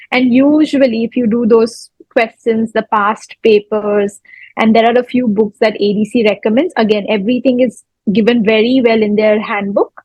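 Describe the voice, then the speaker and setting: Somewhat breathy and fairly high-pitched, a woman with an Indian accent speaks at a moderate pace with fairly even intonation and very even loudness. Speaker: dentist, oral pathologist. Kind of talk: interview answer.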